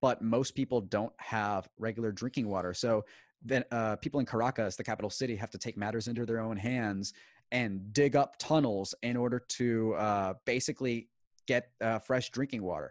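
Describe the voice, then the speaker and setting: A man speaks with an American accent at a medium pitch. The sound is dry and close with no echo, and the background is quiet. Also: moderate pace. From Houston, Texas. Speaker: podcaster on Venezuelan affairs. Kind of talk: interview.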